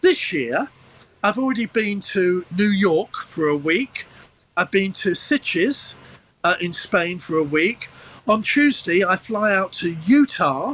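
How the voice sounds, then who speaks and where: Talking at a very slow pace, a man with a slight Cockney accent uses a high pitch and lively intonation. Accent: London English, slight Cockney. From London East End. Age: 70s. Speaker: entertainer. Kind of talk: casual chat. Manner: halting with false starts. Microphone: poor quality remote feed.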